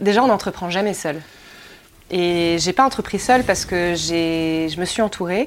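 A woman's normal speaking voice, fairly low and fairly slow, with ordinary pitch variation. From Anjou, western France. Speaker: winemaker. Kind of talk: interview.

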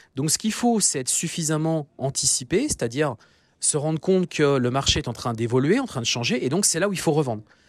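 Lively intonation and a fairly quick pace mark this man's fairly high-pitched voice. The recording is very clean, with a silent background. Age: 40s. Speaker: business coach and podcast host. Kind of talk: solo podcast monologue. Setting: outdoors. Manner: hesitant, many fillers.

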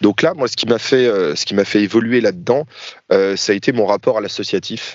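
The man has a plain, everyday voice, medium in pitch, with ordinary pitch variation and a moderate pace. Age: 30s. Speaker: YouTuber and airsoft player. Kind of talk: casual interview.

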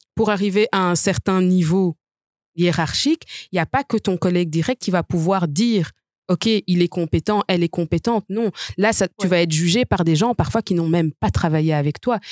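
In a very clean recording with a silent background, a woman with an ordinary speaking voice talks at a medium pitch and a moderate pace. Her loudness is very even, and her pitch variation is ordinary. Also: dry, close sound with no echo. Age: 30s. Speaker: lawyer. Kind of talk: debate.

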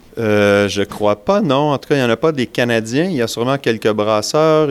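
In a Quebec accent, a man talks at a moderate pace with hardly any pauses, his medium pitch showing ordinary variation. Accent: Québécois French. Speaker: brewer and beer judge. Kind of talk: interview.

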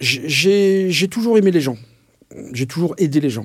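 A man speaks with lively intonation. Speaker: mentor. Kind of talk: interview testimony. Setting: in-person recording in Cambrai. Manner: halting, many fillers and repetitions.

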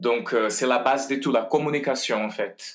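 A man speaks with a Portuguese accent. His pitch sits in the medium range. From Brazil. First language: Portuguese (speaking French). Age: 40s. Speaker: ballet master, former dancer. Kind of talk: interview. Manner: halting, many hesitations.

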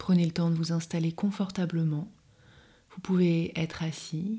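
Somewhat breathy and dark, mellow in tone, a woman with a fairly low pitch speaks at a fairly slow pace with fairly even intonation. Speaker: podcast host and meditation guide. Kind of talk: guided meditation. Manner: soft-spoken.

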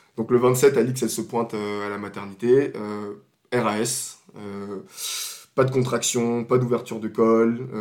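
Man at a very slow pace, fairly even intonation, with big swings in loudness. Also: medium pitch for a man. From Ivory Coast until 13, then France. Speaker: podcast guest, new father. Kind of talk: casual chat.

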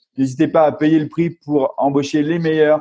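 This man's voice sits fairly high in pitch, flat and monotone in intonation, moving at a moderate pace. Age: 40s. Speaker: venture capital operating partner and serial entrepreneur. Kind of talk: interview. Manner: halting.

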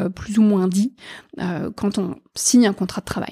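A woman's somewhat breathy voice, dark and mellow in tone, medium in pitch with fairly even intonation, dry and close with no echo on a very clean recording with a silent background. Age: 40s. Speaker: HR and impact executive. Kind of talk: interview. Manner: halting, many fillers.

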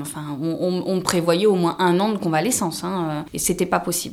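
Here a woman talks with a fairly low pitch. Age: 30s. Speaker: social worker. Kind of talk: testimony. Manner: halting.

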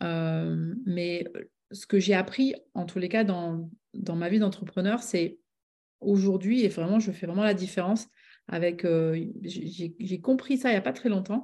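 At a very slow pace, a woman speaks in a medium pitch with a dark, mellow tone and ordinary pitch variation against a quiet background. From southwest France (Bordeaux, Médoc). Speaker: business coach and author. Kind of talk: interview.

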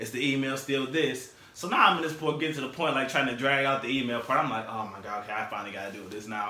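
A man speaks with a Detroit accent at medium pitch. Noticeable background noise runs underneath. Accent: Detroit urban American English. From Detroit, Michigan. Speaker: chef and guest co-host. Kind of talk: casual chat. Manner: laid-back, slangy.

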